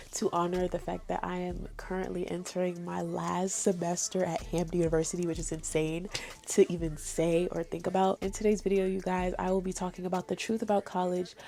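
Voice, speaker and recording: With music in the background, a woman with an American accent speaks at a moderate pace. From New York. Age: 20s. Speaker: college student. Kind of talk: casual talk to camera.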